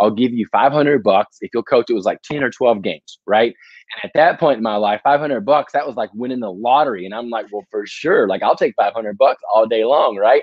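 A man with a normal speaking voice and an American accent, at a moderate pace with hardly any pauses. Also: medium pitch for a man, ordinary pitch variation. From US South, Tennessee near Nashville. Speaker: education speaker and consultant. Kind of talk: casual interview.

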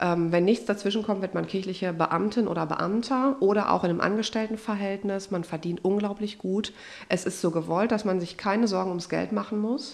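The speaker is a woman with a medium pitch. She moves at a fairly quick pace. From Germany, Westphalia (Unna). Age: 30s. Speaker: pastor, church recruitment officer. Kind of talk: casual podcast interview. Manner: animated.

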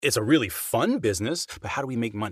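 A man with a medium-pitched voice and vocal fry talks at a fairly quick pace, his pitch swinging very widely. The recording is very clean, the background silent. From England. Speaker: voice actor and retired military pilot. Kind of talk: interview.

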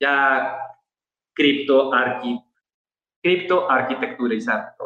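At medium pitch, a man speaks very slowly with fairly even intonation and long, frequent pauses. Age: 30s. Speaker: architect. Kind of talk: casual interview. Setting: video call.

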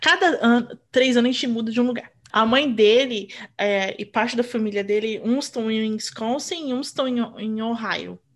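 This woman's voice sits fairly high in pitch. She speaks at a moderate pace with ordinary pitch variation. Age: 40s. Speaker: podcast co-host and mother. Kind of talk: casual chat. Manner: animated.

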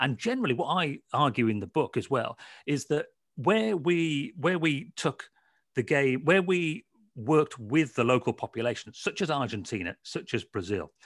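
A man with a fairly high voice talks at a moderate pace, his pitch swinging very widely, in a dry, close recording with no echo that is very clean over a silent background. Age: 40s. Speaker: football author. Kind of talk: interview. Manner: halting.

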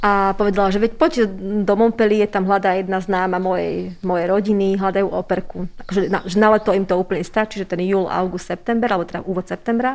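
A woman talks at a fairly quick pace at a medium pitch. She has an ordinary speaking voice. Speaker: teacher and deputy head. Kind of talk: interview.

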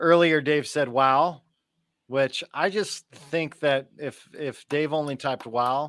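The sound is dry and close with no echo as a man speaks with ordinary pitch variation. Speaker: podcast host. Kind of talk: casual chat.

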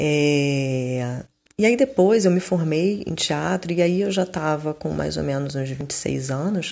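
A woman with a very deep, low pitch, ordinary pitch variation and a very slow pace. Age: 40s. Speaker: holistic therapist. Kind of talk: personal monologue. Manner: halting.

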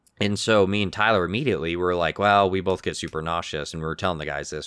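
With a very deep, low pitch and a bright, sharp tone, this man's voice shows ordinary pitch variation. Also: very clean recording, silent background. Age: 30s. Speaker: podcast co-host. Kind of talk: casual chat. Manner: animated.

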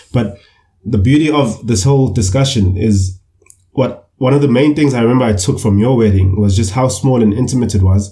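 Somewhat breathy and dark, mellow in tone, a man speaks at a fairly quick pace with very even loudness and ordinary pitch variation. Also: medium pitch for a man. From KwaZulu-Natal, South Africa (Umlazi). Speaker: podcast co-host. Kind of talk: casual discussion. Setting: online call.

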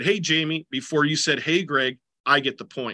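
With an American accent, a man talks at a fairly quick pace in a fairly high pitch and a bright, sharp tone. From US Midwest, southeastern Minnesota. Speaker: basketball coach and teacher. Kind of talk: interview conversation. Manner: hesitant, many fillers and restarts.

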